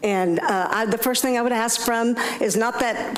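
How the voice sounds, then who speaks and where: In a room with audible echo and noticeable background noise, a woman speaks fairly slowly at a fairly high pitch with ordinary pitch variation. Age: 70s. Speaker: public commenter, business owner. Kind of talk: public comment at council meeting. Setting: city council meeting. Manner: halting.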